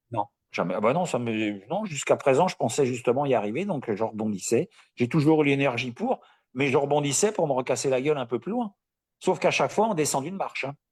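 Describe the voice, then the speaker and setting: Recorded very cleanly with a silent background and a dry, close sound with no echo, a man uses an ordinary speaking voice, fairly high in pitch, with lively intonation. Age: 60s. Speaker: coaching client, retiree. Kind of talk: live interview.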